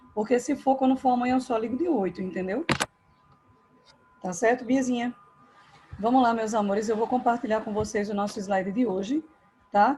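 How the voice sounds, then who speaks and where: Music plays in the background as a woman speaks in a high voice. Her pace is moderate, with ordinary pitch variation. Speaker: school English teacher. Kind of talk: online class. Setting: video call from home. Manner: soft-spoken.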